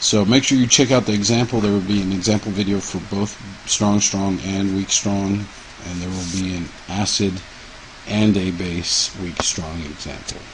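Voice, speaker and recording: A man with a fairly low voice speaks at a moderate pace with fairly even intonation, with audible room echo and noticeable background noise around him. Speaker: chemistry teacher. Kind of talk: lecture. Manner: halting.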